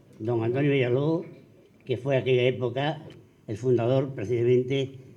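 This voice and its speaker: A man's dark, mellow voice at medium pitch, at a fairly slow pace. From Andalusia, Spain (Arcos). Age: 80s+. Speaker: panel guest recalling local history. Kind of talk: public forum talk.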